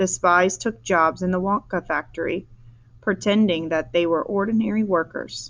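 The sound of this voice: Someone reads in an unforced voice.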